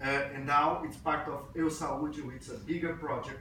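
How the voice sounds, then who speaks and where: In a room with audible echo and noticeable background noise, a man speaks at a fairly high pitch with fairly even intonation. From Brazil. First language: Portuguese. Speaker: physician and health IT speaker. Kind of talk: conference talk. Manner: hesitant, with fillers.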